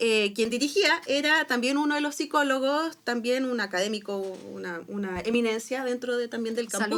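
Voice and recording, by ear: Speaking at a moderate pace with hardly any pauses, a woman uses a high pitch and lively intonation over noticeable background noise. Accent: Chilean.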